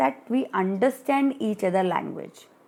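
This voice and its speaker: A woman's dark, mellow voice with an Indian accent, very slow in pace, with very wide pitch swings. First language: Hindi. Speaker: study group tutor. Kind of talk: lecture. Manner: reading from study material with explanatory asides.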